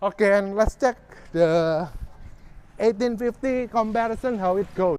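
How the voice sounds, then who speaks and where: A man with a non-native accent and a high pitch speaks at a fairly slow pace with ordinary pitch variation. The sound is dry and close, with no echo. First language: not English. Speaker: boat owner reviewer. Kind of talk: casual video walkthrough review.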